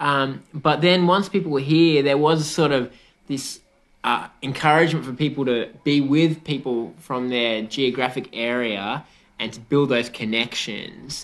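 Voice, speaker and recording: A man with an Australian accent speaks in a fairly high pitch over a quiet background. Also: ordinary pitch variation, fairly slow pace. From New South Wales, Australia. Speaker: community radio host. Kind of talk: radio interview. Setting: on location.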